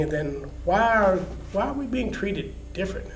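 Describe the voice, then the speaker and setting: A man with an American accent at a fairly slow pace, with noticeable background noise. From Oklahoma. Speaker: retired agricultural economist. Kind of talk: oral history interview answer.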